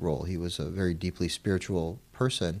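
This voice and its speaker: In a very clean recording with a silent background, a man with an American accent speaks in a very deep, low voice. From Arizona, US. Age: 40s. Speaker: president of an Islamic graduate college. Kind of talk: interview.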